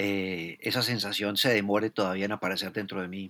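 A man's fairly low, bright, sharp voice in a flat monotone, on a very clean recording with a silent background. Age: 40s. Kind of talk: casual conversation.

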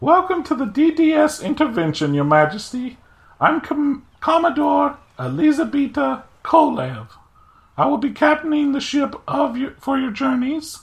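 High-pitched put-on character voice at a moderate pace. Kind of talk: naval officer formality. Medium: actual play. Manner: formal.

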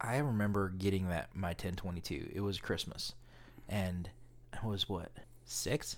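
A man with a very deep, low pitch talks at a fairly slow pace. Long, frequent pauses break up his speech. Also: ordinary pitch variation. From Alaska. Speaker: podcast host. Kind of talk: casual chat.

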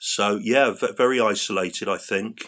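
Here is a man with a London accent. He speaks at a moderate pace. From London, England. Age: 50s. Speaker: patient sharing chronic illness story. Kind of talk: interview testimony. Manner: halting.

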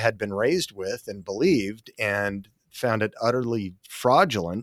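A man with an American accent talks at a moderate pace in an ordinary speaking voice of medium pitch. The sound is dry and close, with no echo. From Utah, Salt Lake City. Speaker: apologetics ministry president. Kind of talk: interview.

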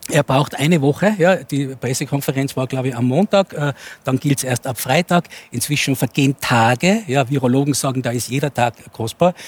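Somewhat breathy speech at a moderate pace with ordinary pitch variation, dry and close with no echo. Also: man, fairly high pitch for a man. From Innsbruck, Austria. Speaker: sociologist and futurist. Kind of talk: talk show debate.

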